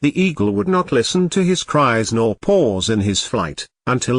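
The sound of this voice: The reading comes in an unforced reading voice, set against a quiet background.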